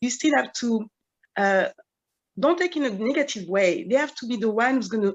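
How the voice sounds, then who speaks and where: Speaking in a French accent, a woman uses a fairly high pitch with very wide pitch swings. Her pace is fairly quick. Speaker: event panel moderator. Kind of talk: panel discussion. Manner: hesitant, many fillers.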